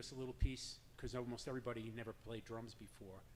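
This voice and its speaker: At a fairly quick pace, a man speaks with a slight New York accent. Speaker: drum circle leader. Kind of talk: personal story told to an audience.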